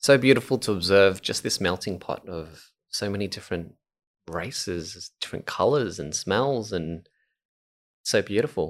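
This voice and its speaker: A man with an Australian accent, fairly low pitch, ordinary pitch variation and a moderate pace, on a very clean recording with a silent background. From Melbourne, Australia, Vietnamese background. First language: Vietnamese. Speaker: podcast co-host. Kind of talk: casual chat.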